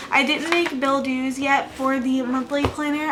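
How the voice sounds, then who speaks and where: A soft-spoken woman with a high pitch talks at a moderate pace in a flat monotone. Noticeable background noise and audible room echo are present. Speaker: budgeting vlogger. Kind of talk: casual chat. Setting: home at night.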